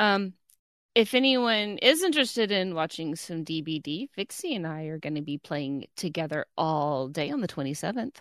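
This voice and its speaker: A woman speaks at a moderate pace in an unremarkable speaking voice, her pitch fairly low and her intonation lively. The sound is dry and close with no echo, over a quiet background. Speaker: podcast co-host. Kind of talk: casual chat. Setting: video call.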